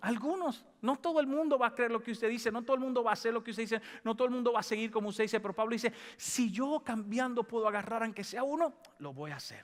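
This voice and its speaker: With an animated tone, a man talks at a very fast pace in an extremely high pitch with ordinary pitch variation, recorded very cleanly against a silent background. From Dominican Republic. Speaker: pastor. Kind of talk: sermon. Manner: animated, call-and-response with congregation.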